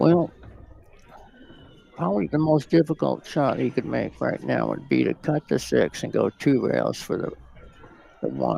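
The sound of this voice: A soft-spoken, croaky male voice at medium pitch, dark and mellow in tone with a slightly husky edge and vocal fry, moving at a fairly slow pace with big pitch swings and long, frequent pauses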